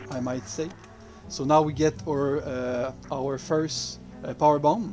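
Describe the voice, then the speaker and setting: Over music in the background, a man with a French accent talks at a very slow pace and a medium pitch. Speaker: game developer. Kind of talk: gameplay commentary. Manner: hesitant, many fillers.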